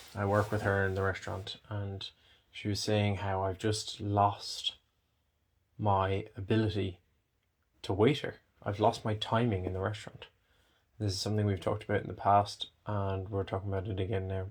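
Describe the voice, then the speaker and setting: A man's fairly low, somewhat breathy voice, monotone and flat, at a moderate pace with long, frequent pauses. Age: 20s. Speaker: cancer survivor vlogger. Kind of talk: personal vlog monologue. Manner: halting.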